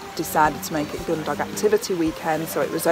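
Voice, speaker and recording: Over clear music in the background, a woman talks at a fairly quick pace with ordinary pitch variation in a dry sound with no echo. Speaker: interviewee. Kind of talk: interview answer. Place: forest.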